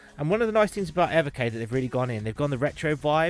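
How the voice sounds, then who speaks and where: A man with a British accent over background music. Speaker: tech reviewer. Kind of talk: unboxing review. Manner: casual, conversational; mumbling.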